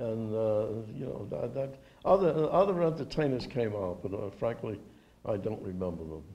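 A man's dark, mellow tone at a moderate pace, with very wide pitch swings and big swings in loudness. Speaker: World War II veteran. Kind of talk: oral history interview, an elderly veteran recalling wartime memories; interview answer. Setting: interview at a veterans' reunion. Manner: halting, with frequent repeated words and false starts; reminiscent and precise about dates, with occasional chuckles. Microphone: handheld.

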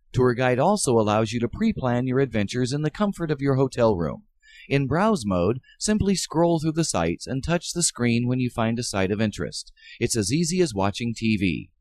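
With a fairly quick pace and medium pitch, a man speaks in very wide pitch swings, the sound dry and close with no echo. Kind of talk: commercial product narration.

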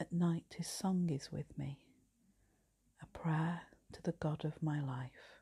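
Soft-spoken and somewhat breathy, a woman with an English accent speaks very slowly at a fairly low pitch in a dark, mellow tone, with a quiet background. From England. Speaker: priest. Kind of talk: night prayer service, compline liturgy read aloud and prayed. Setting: home, live online video. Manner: soft, slow and hushed; fervent, tender, reverent. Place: home room. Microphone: phone near.

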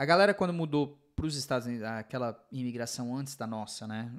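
Very fast speech from a man at a medium pitch, set against a quiet background. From Brazil. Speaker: podcast host. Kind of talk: casual interview chat. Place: studio. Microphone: studio mic.

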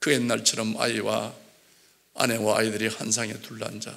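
With a Gyeongsang accent, a man speaks at a moderate pace. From South Gyeongsang, Korea (Jinju); South Gyeongsang, Korea. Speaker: church elder giving testimony. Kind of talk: testimony. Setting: church. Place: church. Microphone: podium.

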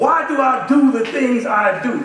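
In a Southern US accent, a man speaks at an extremely high pitch, with audible room echo around him. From US South, Alabama. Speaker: assistant pastor. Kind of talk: sermon. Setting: church. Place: church. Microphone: podium.

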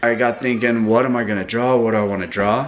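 His pitch shifts in an ordinary way. The speaker is a man. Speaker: family vlogger. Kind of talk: casual vlog chat. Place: kitchen. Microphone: phone near.

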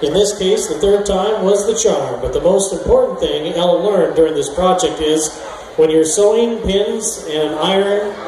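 There is audible room echo and noticeable background noise around a man with a high pitch. He moves at a moderate pace with ordinary pitch variation. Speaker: show announcer. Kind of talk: scripted event announcement. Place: tent.

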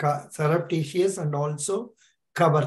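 A man with fairly high pitch, fairly even intonation and a fairly slow pace, audible room echo around him

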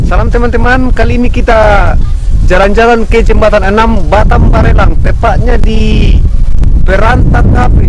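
With loud noise in the background, a man talks at a moderate speed, the sound dry and free of echo. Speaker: travel vlogger. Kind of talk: casual vlog chat. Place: street. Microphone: phone near.

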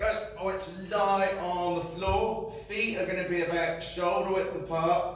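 Audible room echo surrounds speech at a fairly slow pace with monotone, flat intonation. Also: man. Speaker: fitness instructor. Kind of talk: exercise class instruction. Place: gym. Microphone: camera far.

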